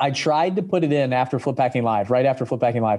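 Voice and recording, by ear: A man talks at a fast pace with lively intonation, a medium pitch and a slightly mellow tone.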